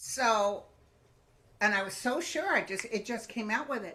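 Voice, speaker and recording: There is noticeable background noise as a woman speaks at a moderate pace with a fairly high pitch and lively intonation. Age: 70s. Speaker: psychic medium. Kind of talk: casual chat.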